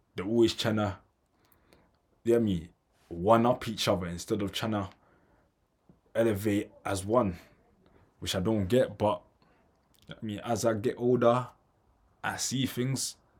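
Using fairly even intonation, a man with a London accent speaks at a fairly slow pace in a fairly low pitch, with long, frequent pauses. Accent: London multicultural English. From London, Tanzanian family. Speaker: podcast host. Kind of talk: casual monologue.

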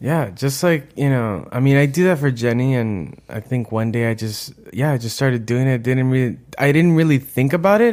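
A man with an ordinary speaking voice talks at a moderate pace and medium pitch. His pitch variation is ordinary, and the recording is very clean with a silent background. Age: 30s. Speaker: podcast co-host, school staff. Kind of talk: casual chat.

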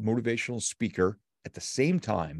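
A man with an ordinary speaking voice talks at a moderate pace. There is a quiet background. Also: dry, close sound with no echo. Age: 50s. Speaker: motivational speaker and author. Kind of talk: interview.

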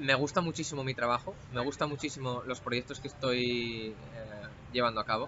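Noticeable background noise sits behind a man speaking at a fairly quick pace. His pitch is medium, and his intonation fairly even. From Spain, Asturias. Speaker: cybersecurity professional. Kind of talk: interview conversation. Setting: recorded in person in Bali. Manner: hesitant, many fillers and repeats.

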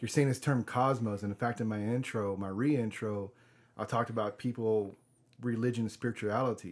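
At a fairly quick pace and with fairly even intonation, a man talks in an unremarkable speaking voice on a very clean recording with a silent background. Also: medium pitch for a man. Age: 30s. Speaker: podcast host. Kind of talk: casual interview.

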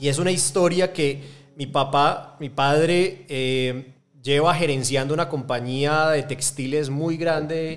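A man with an Antioquian accent speaks at a fairly high pitch. His pace is fairly slow and his intonation fairly even. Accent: Colombian paisa Spanish. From Colombia, Medellín. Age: 30s. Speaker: angel investor network co-founder. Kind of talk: interview. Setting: studio.

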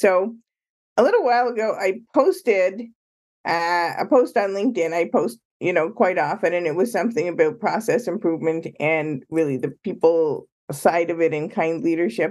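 Moving at a moderate pace, the speaker has an unremarkable speaking voice. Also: woman, fairly low pitch for a woman, lively intonation. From Canada, Ottawa and Toronto. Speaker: author and consultant. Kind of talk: interview.

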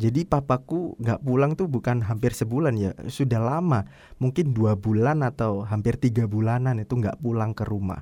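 Delivered at a moderate pace with hardly any pauses, the voice has a dark, mellow tone and ordinary pitch variation, captured in a very clean recording against a silent background. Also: man, medium pitch for a man. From East Java (Surabaya/Sidoarjo). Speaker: podcaster. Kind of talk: personal storytelling monologue. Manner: casual, with filler hesitations.

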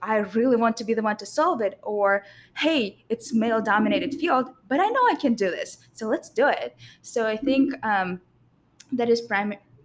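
This woman has a Russian accent and a fairly high pitch. She talks at a moderate pace with ordinary pitch variation. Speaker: structural engineer. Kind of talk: casual panel conversation.

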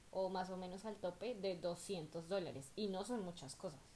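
A woman with a Colombian accent speaks fairly slowly at medium pitch, with ordinary pitch variation and a dark, mellow tone. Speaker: podcast co-host, migrant worker. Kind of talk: casual chat.

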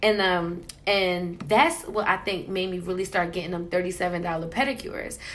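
In a room with audible echo, a woman with an American accent speaks at a medium pitch and a fairly slow pace, her intonation fairly even. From Queens, New York and New Jersey. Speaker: podcast co-host. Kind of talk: casual chat.

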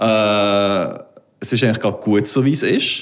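In a Solothurn accent, a man talks at a moderate pace with ordinary pitch variation. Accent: Solothurn Swiss German dialect. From Solothurn, Switzerland. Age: 30s. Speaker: salon owner. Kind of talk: casual interview.

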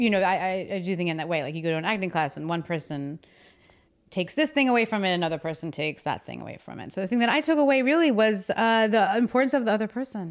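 A woman with an American accent and a medium-pitched voice talks very fast, her pitch swinging very widely and her loudness shifting a lot. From New Jersey. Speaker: stage and screen actor, acting teacher. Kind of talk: casual interview chat.

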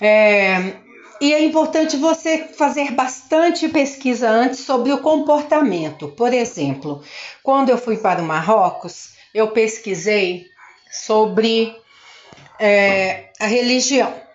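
Over noticeable background noise, a woman speaks at a very slow pace in a fairly high pitch, her voice swinging very widely in pitch while her loudness stays very even. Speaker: English teacher. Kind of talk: casual monologue talk to students.

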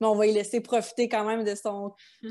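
A woman speaks in a Quebec accent at a fairly high pitch. The background is quiet. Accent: Québécois French. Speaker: podcast host, kinesiologist. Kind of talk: interview.

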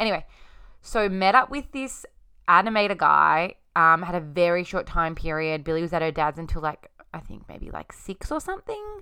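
A woman's fairly low-pitched voice in an Australian accent, bright and sharp in tone, with lively intonation, big swings in loudness and a moderate pace, in a very clean recording with a silent background. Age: 20s. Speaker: podcast host. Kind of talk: casual monologue.

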